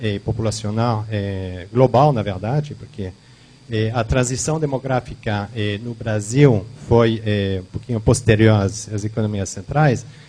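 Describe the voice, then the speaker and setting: Fairly slow, fairly evenly intoned speech with a non-native accent, over noticeable background noise. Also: man. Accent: foreign accent in Portuguese. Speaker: company founder and demographer giving a talk. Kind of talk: lecture. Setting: event hall with audience. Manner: halting, many fillers.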